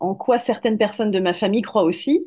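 The tone is dark and mellow. Intonation is lively. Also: woman. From southern France. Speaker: medium and corporate finance manager. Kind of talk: interview.

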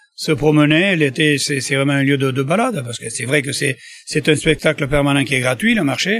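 A man speaks at a moderate pace with a fairly high pitch and ordinary pitch variation. Noticeable background noise runs underneath. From Landes, southwest France. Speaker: market trader, duck producer. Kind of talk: interview.

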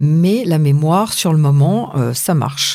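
Her voice is very deep, low-pitched, and dark and mellow in tone. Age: 50s. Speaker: aspiring actress and justice mediator. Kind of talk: interview. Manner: hesitant.

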